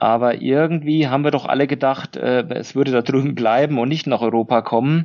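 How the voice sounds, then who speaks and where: A man with a Franconian accent, medium pitch, fairly even intonation and a moderate pace. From Lower Franconia, Germany. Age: 40s. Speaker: company managing director. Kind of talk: interview. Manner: hesitant, many filler sounds.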